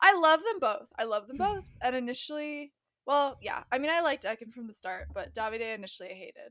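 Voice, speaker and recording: The speaker talks at a very fast pace with a West Coast US accent. The tone is bright and sharp, with very wide pitch swings and big swings in loudness. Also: woman, high pitch for a woman. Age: 20s. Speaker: podcast co-host. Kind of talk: casual chat.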